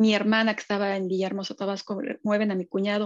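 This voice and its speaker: A woman with a Mexican accent at medium pitch, fairly even intonation and a very fast pace, over a quiet background. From Mexico City. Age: 50s. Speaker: social psychologist and business owner. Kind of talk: casual interview chat.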